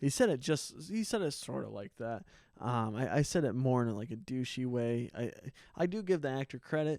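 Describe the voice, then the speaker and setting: Recorded very cleanly against a silent background, a man speaks at a moderate pace and medium pitch with lively intonation. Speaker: podcast host. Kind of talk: casual monologue. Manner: halting, many fillers and restarts.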